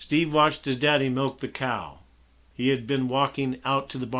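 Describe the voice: With fairly even intonation, the text is given a plain reading aloud.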